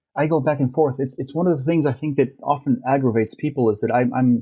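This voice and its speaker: Somewhat breathy, a man with an American accent talks at a very fast pace with fairly even intonation. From Argentina. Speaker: renewable energy industry leader. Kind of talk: podcast interview.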